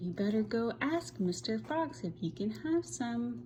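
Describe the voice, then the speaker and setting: Through clear background noise, a female-sounding voice uses a put-on character voice at a medium pitch and a moderate pace. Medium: read story. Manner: kind, motherly.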